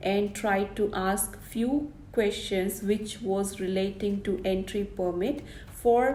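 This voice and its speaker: Amid audible room echo and noticeable background noise, a woman with a Keralan accent speaks very slowly at a medium pitch with fairly even intonation. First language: Malayalam. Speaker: vlogger. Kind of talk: informational vlog.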